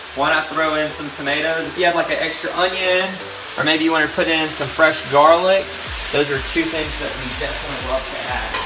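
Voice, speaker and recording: Fairly quick speech with noticeable background noise behind it. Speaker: fitness trainer. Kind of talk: casual cooking tutorial to camera. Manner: casual, chatty.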